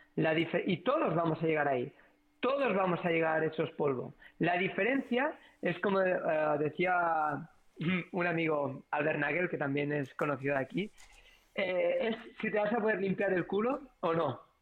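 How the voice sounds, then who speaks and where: At a fairly slow pace, a man with a high voice uses lively intonation while his loudness stays very even. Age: 30s. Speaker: physiotherapist. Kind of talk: casual chat.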